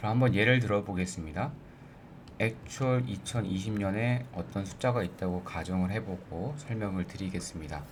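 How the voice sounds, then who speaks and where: Somewhat breathy and fairly low in pitch, a man speaks with audible room echo around him. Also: ordinary pitch variation. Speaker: finance YouTuber. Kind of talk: tutorial. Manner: slow.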